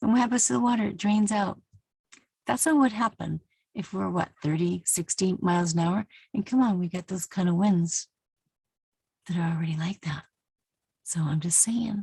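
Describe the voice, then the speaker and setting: A woman at medium pitch speaks at a moderate pace with a dark, mellow, somewhat breathy tone, lively intonation, and long, frequent pauses, in a dry, close recording with no echo. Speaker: Bible teacher vlogger. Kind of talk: casual tutorial monologue. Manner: animated.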